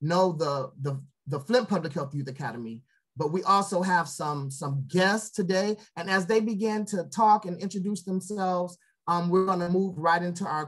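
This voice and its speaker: The speech moves at a moderate pace against a quiet background. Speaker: show host. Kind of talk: show host introduction. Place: home room. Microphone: video call.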